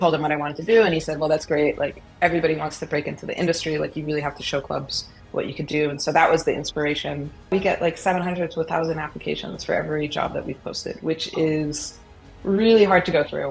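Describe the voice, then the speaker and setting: A woman with an American accent and a very deep, low voice talks at a very fast pace with fairly even intonation. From US, Boston. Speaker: football analytics expert. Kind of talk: podcast interview.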